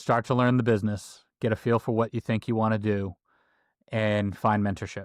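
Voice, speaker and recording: A man with an American accent speaks in a fairly low pitch and a monotone, flat intonation at a moderate pace. The very clean recording has a silent background and a dry, close sound with no echo. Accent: Boston accent, faint when sober. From Boston. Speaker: construction executive. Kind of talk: casual interview chat.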